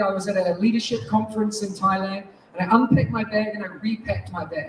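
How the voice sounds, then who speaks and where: In a strong New Zealand accent, the speaker sounds animated over noticeable background noise. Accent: thick New Zealand. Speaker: teacher and education technology speaker. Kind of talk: conference keynote talk. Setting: stage with audience. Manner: fast.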